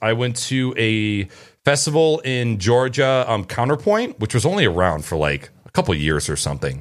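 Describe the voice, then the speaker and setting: The recording is very clean, with a silent background. On it, a man speaks at a medium pitch. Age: 30s. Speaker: podcast host. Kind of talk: casual chat.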